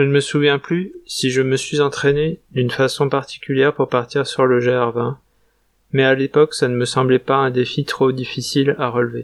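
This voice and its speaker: Recorded with a dry, close sound and no echo, a man talks at a medium pitch with monotone, flat intonation. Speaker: travel vlogger. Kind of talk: scripted narration.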